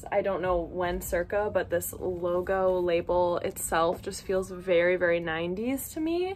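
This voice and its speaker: There is light background noise. A woman speaks at a fairly slow pace. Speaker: haul vlogger. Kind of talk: casual vlog chat. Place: home room. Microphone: phone near.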